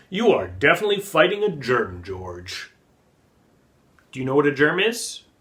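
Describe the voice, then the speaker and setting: Putting on a character voice, a man speaks at a fairly high pitch with very wide pitch swings and long, frequent pauses. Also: moderate pace. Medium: read story. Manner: gentle, patient.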